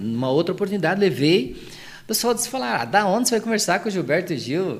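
Talking at a very fast pace, a man with a high voice makes very wide pitch swings. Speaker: singer and former city councillor. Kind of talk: casual interview.

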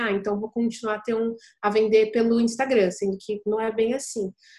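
A woman speaks at a moderate pace in a high pitch. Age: 20s. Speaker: e-commerce entrepreneur. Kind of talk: casual interview.

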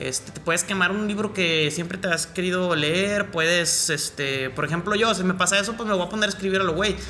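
Over music in the background, a man with a high pitch talks at a fairly quick pace. His intonation is fairly even, with hardly any pauses. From Mexico. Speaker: rapper. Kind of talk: casual chat.

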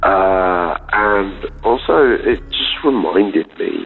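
Behind this man's speech there is noticeable background noise. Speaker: painter. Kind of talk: voicemail message. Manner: hesitant, many fillers.

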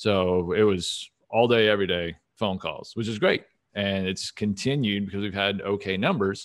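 An ordinary speaking voice comes from a man with an American accent, talking at a moderate pace in a fairly low pitch with fairly even intonation on a very clean recording with a silent background. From Texas, Dallas. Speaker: options portfolio manager. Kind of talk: interview.

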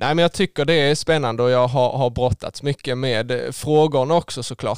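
A man speaks in an ordinary speaking voice. His pitch is medium and varies an ordinary amount. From southern Sweden (Skåne), rural. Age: 20s. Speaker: engineering student. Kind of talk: faith testimony interview. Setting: studio.

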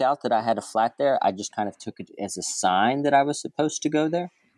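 A man's plain, everyday voice with an American accent, fairly quick pace and ordinary pitch variation, in a dry, close sound with no echo on a very clean recording with a silent background. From small-town Texas, US. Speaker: expat remote worker. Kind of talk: casual interview chat.

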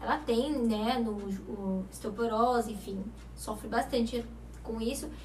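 Over noticeable background noise and audible room echo, a woman talks in an animated tone at a high pitch. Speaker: TV show host. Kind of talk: talk show interview.

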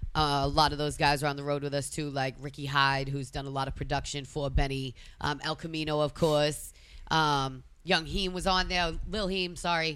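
This woman's voice sits very deep and low. She speaks with a Boston accent. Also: fairly even intonation, moderate pace. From Massachusetts. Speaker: DJ and tour organizer. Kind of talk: casual chat.

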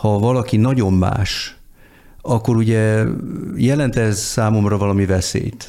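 Speaking fairly slowly with long, frequent pauses, a man with a fairly low pitch and a dark, mellow tone keeps his intonation fairly even and his loudness very even, with audible room echo. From born and raised largely abroad. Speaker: diplomat. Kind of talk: casual chat.

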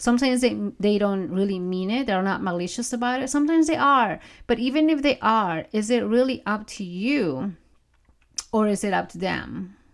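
With a non-native accent, a woman speaks at a moderate pace in an animated tone with lively intonation. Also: fairly high pitch for a woman, very clean recording, silent background. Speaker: podcast host and mindset coach. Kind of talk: solo podcast monologue, conversational. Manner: animated, laughs often.

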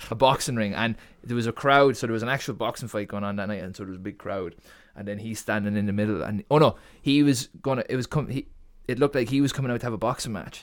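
The recording is very clean, with a silent background. A man goes at a very fast pace, his pitch varying in an ordinary way. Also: medium pitch for a man. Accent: Irish Midlands. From Ireland, Co. Laois. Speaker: graphic designer guest. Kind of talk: casual interview chat.

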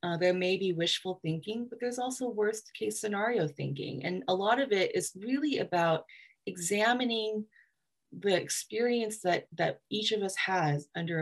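With a Southeast Asian accent, a woman speaks at a moderate pace using lively intonation. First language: Hmong. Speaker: writer and literary festival director. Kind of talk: interview.

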